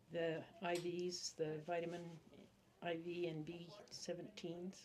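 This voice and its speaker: A woman's fairly low voice at a fairly slow pace, monotone and flat, with audible room echo and noticeable background noise. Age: 70s. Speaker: patient. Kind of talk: interview. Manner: brief answers.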